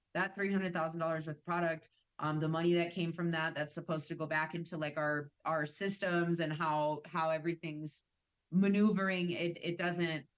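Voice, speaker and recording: A woman with a slight Wisconsin accent and fairly low pitch speaks at a moderate pace in a monotone, flat intonation, with big swings in loudness. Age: 30s. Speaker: cannabis industry worker. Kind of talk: casual podcast chat.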